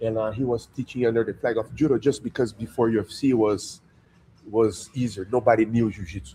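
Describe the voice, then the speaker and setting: A man's medium-pitched voice with a Portuguese accent, fairly even intonation and moderate pace. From Brazil. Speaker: jiu-jitsu instructor. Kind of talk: interview. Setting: jiu-jitsu gym under construction.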